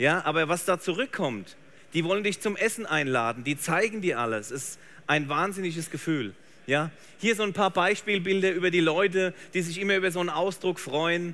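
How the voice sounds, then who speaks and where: In an animated tone, a man speaks at a moderate pace with a high pitch, a bright, sharp tone and ordinary pitch variation. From Germany. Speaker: photographer; presenter. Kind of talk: live demo talk. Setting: trade fair stage with audience. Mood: warm, enthusiastic storytelling. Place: stage.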